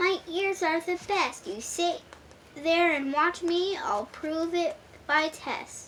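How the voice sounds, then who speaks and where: Delivered very slowly, a put-on character voice comes through over clear background noise. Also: woman, extremely high pitch for a woman. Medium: read story. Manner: bragging, snappy.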